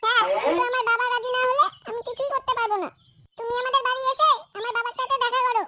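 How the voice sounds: In a cartoonish character voice, a woman talks at a fairly quick pace with an extremely high pitch and fairly even intonation.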